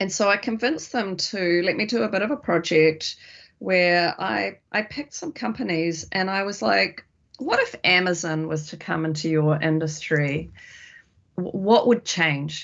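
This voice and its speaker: Lively intonation marks a woman speaking with a New Zealand accent. Her pitch is fairly low, and her pace is moderate. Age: 50s. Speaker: futurist and company director. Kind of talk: interview conversation.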